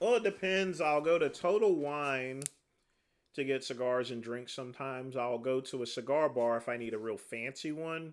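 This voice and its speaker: A man talks in a normal speaking voice at a medium pitch. His pitch varies in an ordinary way, and his pace is moderate. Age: 40s. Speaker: livestreamer, former corrections officer. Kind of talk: casual livestream chat answering viewer comments. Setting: livestream.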